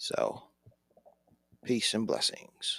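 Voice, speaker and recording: Here a man speaks at a very slow pace. The sound is dry and close, with no echo. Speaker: podcast host. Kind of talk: casual interview questions.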